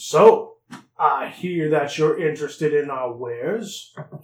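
Speaking fairly slowly, a man uses a put-on character voice pitched fairly high.

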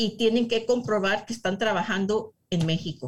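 The woman's voice is somewhat breathy. It sits at a medium pitch with ordinary pitch variation. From US, San Diego, California. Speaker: real estate agent. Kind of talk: interview.

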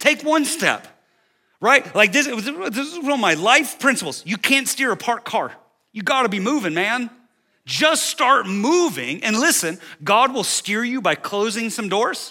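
Raised and projected, this bright, sharp voice moves at a moderate pace with lively intonation over a very clean recording with a silent background. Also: man, extremely high pitch for a man. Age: 40s. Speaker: senior pastor. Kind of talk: sermon. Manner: animated.

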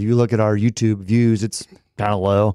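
A man with a normal speaking voice and an American accent talks at a fairly quick pace, medium in pitch with fairly even intonation, in a very clean, dry, close recording with a silent background and no echo. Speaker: podcast host. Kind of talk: casual chat. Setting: studio.

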